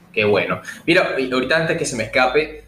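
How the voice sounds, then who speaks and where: Lively intonation comes at a very fast pace, with audible room echo and noticeable background noise. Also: man. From Venezuela, Puerto Cabello. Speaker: podcast host. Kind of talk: casual interview; news reading.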